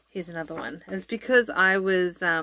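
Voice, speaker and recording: With an Australian accent, a woman speaks at medium pitch with ordinary pitch variation. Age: 30s. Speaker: family vlogger. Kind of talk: casual chat. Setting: sitting down to camera. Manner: hesitant, many ums.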